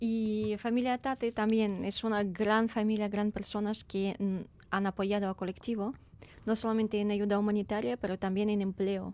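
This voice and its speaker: With a Ukrainian accent, a woman speaks at a medium pitch and a moderate pace. Her loudness is very even and her intonation fairly even. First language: Ukrainian (speaking Spanish). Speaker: refugee aid volunteer and event presenter. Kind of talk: radio interview. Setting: studio.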